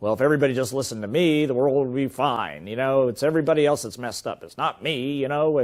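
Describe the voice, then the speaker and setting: Putting on a whiny character voice, a man rattles along at a very fast pace with a medium pitch and ordinary pitch variation. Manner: stubborn, whiny, self-justifying.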